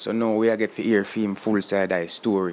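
Speaking at a fairly quick pace with a Jamaican accent, a man is heard on a very clean recording with a silent background. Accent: Jamaican Patois-accented English. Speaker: vlogger. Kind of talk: casual vlog commentary. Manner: animated.

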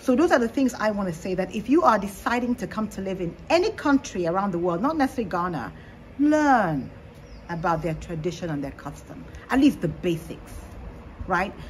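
Over light background noise, a woman talks at a fairly quick pace with very wide pitch swings. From Nigeria. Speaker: panel guest; guest. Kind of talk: panel discussion. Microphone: phone near.

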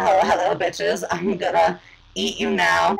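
The voice is an put-on character act. Its pitch sits in the middle and its speed is moderate. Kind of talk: comic villain parody. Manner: menacing, gloating, sultry.

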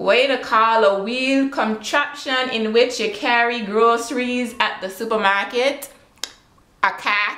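Speaking at a fairly slow pace with ordinary pitch variation, a woman with a Virgin Islands accent is heard amid audible room echo. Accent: Virgin Islands Creole. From British Virgin Islands. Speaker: vlogger. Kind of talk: casual talk to camera. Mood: playful, relaxed. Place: home room. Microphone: webcam.

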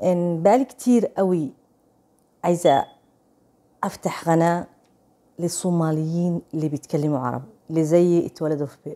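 A woman's dark, mellow tone at a moderate pace, with long, frequent pauses and ordinary pitch variation. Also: fairly low pitch for a woman. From Saudi Arabia, Somali family. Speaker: vlogger. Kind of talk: casual vlog chat. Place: home room. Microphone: lapel.

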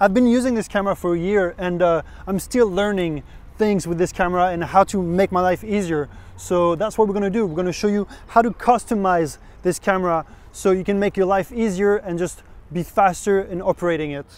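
The speaker talks at a fairly quick pace with fairly even intonation. The sound is dry, with no echo. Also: man, high pitch for a man. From France. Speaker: photographer; camera instructor. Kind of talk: tutorial. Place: open country. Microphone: lapel.

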